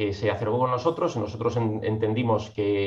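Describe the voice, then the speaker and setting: This man speaks at a fairly quick pace with a fairly low pitch. His voice is somewhat breathy, with fairly even intonation. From Catalonia (Mataró, near Barcelona). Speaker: legal tech entrepreneur, licensed lawyer. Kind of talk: podcast interview.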